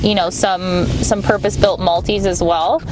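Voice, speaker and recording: Dry sound with no echo, a woman speaking, noticeable background noise behind. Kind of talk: interview answer. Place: car.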